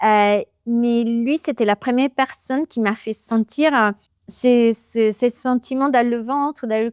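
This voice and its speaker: A woman with an Italian accent speaks very slowly at a fairly high pitch with fairly even intonation, in a dry, close sound with no echo. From Italy, Naples. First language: Italian (speaking French). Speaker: business executive. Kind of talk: interview. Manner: halting.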